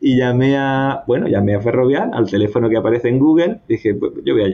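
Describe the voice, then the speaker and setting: A man speaks at medium pitch and a fairly quick pace. He has an unremarkable speaking voice. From southern Spain (Andalusia, Cazorla). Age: 30s. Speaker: civil engineer, visa lottery winner. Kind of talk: personal testimony interview.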